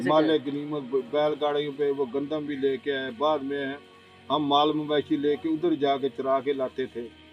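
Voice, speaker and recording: Music plays in the background. A man speaks at a fairly high pitch in a monotone, flat way. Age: 80s+. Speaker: village elder recalling the 1965 war. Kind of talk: interview answer.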